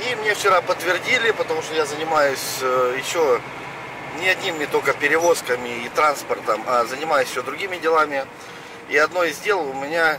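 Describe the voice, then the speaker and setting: Noticeable background noise sits behind a man speaking at a moderate pace. His ordinary pitch variation comes through a dry sound with no echo. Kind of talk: casual vlog chat. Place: car. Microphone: camera far.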